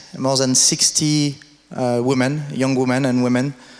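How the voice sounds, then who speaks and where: A man with a French accent at medium pitch, very slow and monotone in his flat intonation, over noticeable background noise. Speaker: conference moderator. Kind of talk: event introduction. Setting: stage with audience. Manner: halting.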